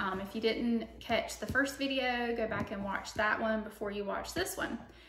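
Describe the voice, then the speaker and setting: Woman at a moderate pace with ordinary pitch variation and noticeable background noise. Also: fairly high pitch for a woman. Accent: Southern US. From South Carolina. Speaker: online reseller. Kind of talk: casual talk to camera.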